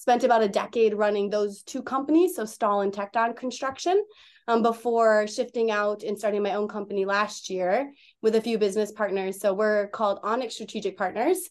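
A woman with an ordinary speaking voice and an American accent talks at a fairly quick pace and fairly high pitch. Her pitch varies in an ordinary way over a quiet background. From Wisconsin. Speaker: construction management business owner. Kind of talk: podcast interview.

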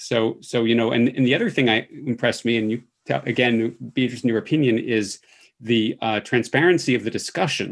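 The pitch varies in an ordinary way. The pace is fairly quick. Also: man, medium pitch for a man. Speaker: infectious disease physician and professor. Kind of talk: interview, conversational. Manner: fast talker.

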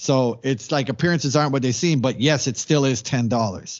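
A man talks at a moderate pace with medium pitch and ordinary pitch variation. He has a normal speaking voice. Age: 40s. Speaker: DJ and radio host. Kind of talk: interview answers. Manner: casual, lots of fillers.

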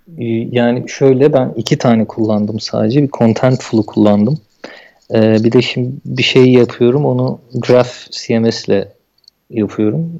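His voice is dark and mellow, at a medium pitch with ordinary variation. The man keeps a fairly slow pace. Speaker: software developer. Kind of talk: casual interview.

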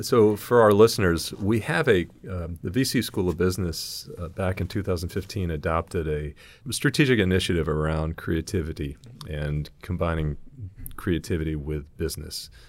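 Using ordinary pitch variation, a man talks in a very deep, low pitch. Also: moderate pace. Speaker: university dean, podcast host. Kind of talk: casual interview chat.

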